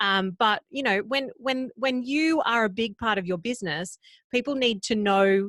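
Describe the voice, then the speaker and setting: Against a quiet background, a woman with an Australian accent speaks at a fairly slow pace in a fairly high pitch with lively intonation, the sound dry and close with no echo. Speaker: podcast coach. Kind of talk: interview.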